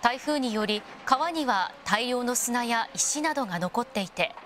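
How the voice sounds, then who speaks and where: A woman with a high pitch and lively intonation talks over noticeable background noise. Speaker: news narrator. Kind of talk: TV news narration.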